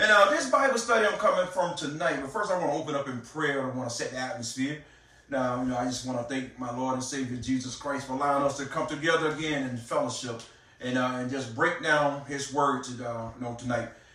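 Talking at a very fast pace, a man uses ordinary pitch variation while audible room echo surrounds his voice. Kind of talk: sermon. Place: home room.

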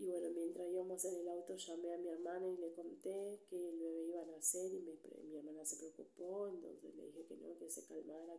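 Soft-spoken, a woman talks at a fairly quick pace. She leaves hardly any pauses. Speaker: ASMR creator. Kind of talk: soft-spoken ASMR storytime. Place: home room. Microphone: studio mic.

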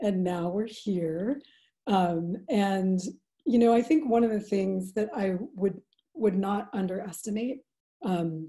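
Against a quiet background, a woman speaks with lively intonation in a somewhat breathy voice of dark, mellow tone. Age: 40s. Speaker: restorative justice practitioner; webinar presenter. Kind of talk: webinar presentation. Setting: video call. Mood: calm, thoughtful. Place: home room. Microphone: video call.

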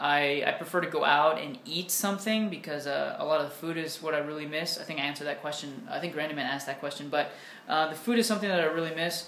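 Very fast and with hardly any pauses, a man speaks at a fairly high pitch. Light background noise and audible room echo are present. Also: ordinary pitch variation. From United States. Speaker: English teacher and YouTuber; English teacher, YouTuber. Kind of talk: casual Q&A vlog. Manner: casual, with many fillers. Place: home room. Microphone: webcam.

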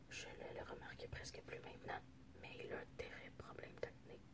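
Through loud background noise, a woman speaks at a fairly slow pace. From French Canadian. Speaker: ASMR creator. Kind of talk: ASMR book reading. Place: home room. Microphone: phone near.

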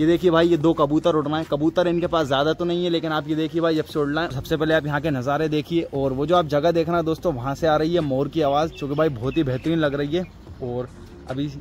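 The speech moves at a fairly quick pace with fairly even intonation, in a dry sound with no echo and light background noise. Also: man. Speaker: vlogger. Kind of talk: casual vlog chat. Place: open country. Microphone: phone near.

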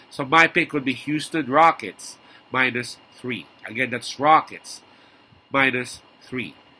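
The voice has a bright, sharp tone and fairly even intonation. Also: man. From Philippines. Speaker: sports betting tipster. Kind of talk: vlog monologue. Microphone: webcam.

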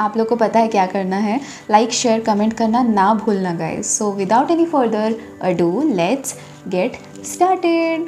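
A woman talks at a fairly slow pace. Faint music plays in the background. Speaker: travel vlogger. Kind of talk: casual vlog chat. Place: home room. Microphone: phone near.

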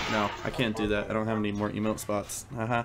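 A man talking at a very fast pace amid noticeable background noise. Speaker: game streamer. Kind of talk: casual stream chat.

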